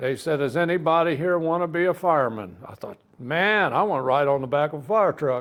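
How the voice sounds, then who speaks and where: A man speaks with a Midwestern US accent. His pitch is fairly high and his pace fairly quick. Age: 70s. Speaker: army veteran and hot-rod car enthusiast. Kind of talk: casual interview chat.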